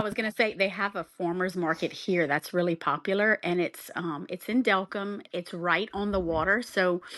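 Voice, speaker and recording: Against a quiet background, with a dry, close sound and no echo, a woman with a Southern Louisiana accent speaks at a fairly slow pace and a fairly low pitch, her intonation fairly even. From South Louisiana. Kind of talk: podcast guest conversation.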